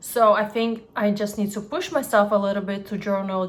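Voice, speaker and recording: A woman with a non-native accent talks at a fairly quick pace and a medium pitch. Her intonation is monotone and flat, and background noise is noticeable. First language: not English. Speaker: lifestyle vlogger. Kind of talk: casual vlog monologue.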